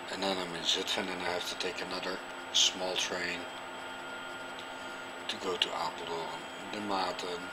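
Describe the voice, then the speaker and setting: A man talks at a fairly slow pace against loud background noise. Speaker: vlogger. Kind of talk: casual vlog chat. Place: train. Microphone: phone near.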